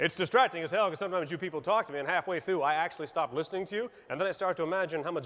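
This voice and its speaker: Speaking very fast, a man uses a high pitch with ordinary pitch variation. He has an American accent. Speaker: stand-up comedian. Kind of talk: stand-up comedy set. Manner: insincere, playfully self-delusional.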